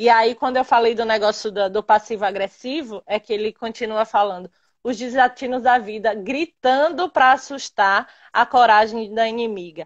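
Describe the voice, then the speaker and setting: A woman's fairly high voice at a moderate pace, with hardly any pauses and ordinary pitch variation. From interior of Bahia, Brazil. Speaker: physical education teacher. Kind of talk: casual chat. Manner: loud.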